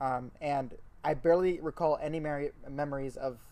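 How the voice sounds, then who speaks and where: A man keeps his intonation fairly even in an ordinary speaking voice pitched fairly high. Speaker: podcast co-host. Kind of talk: casual chat.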